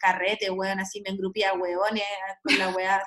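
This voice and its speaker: In a Chilean accent, a woman with a medium pitch talks at a fairly quick pace. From Chile, Santiago. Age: 30s. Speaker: astrologer and sociologist. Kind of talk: casual chat. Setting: video call.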